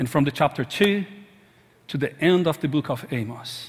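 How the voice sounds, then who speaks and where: A man speaks with an Arabic accent at a moderate pace. His voice is somewhat breathy. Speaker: pastor. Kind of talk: sermon. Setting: church.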